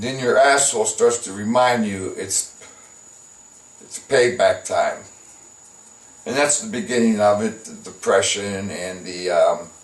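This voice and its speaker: The speech runs at a fairly slow pace with long, frequent pauses against noticeable background noise. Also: man. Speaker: comedian. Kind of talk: improvised casual talk to camera. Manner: halting, many filler words.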